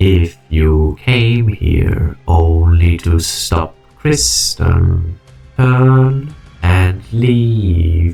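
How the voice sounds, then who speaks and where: A man's put-on character voice, very deep and low in pitch, very slow, with faint music in the background. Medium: dub.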